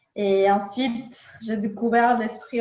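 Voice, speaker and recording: A somewhat breathy woman with a slight Latin American accent, fairly high pitch, ordinary pitch variation and a very slow pace. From Nicaragua. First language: Spanish (speaking French). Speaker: philosopher. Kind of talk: interview. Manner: hesitant, many fillers.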